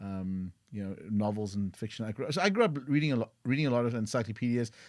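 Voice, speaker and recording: A man speaks with a South African accent. His pace is very fast. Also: medium pitch for a man, ordinary pitch variation, very clean recording, silent background. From South Africa, East London. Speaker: tech entrepreneur. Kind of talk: podcast interview.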